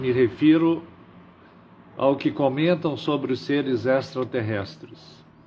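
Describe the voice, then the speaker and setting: The speech moves at a very slow pace, with ordinary pitch variation and long, frequent pauses. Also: man, medium pitch for a man. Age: 60s. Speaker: livestream host. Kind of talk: live stream monologue. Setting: live stream.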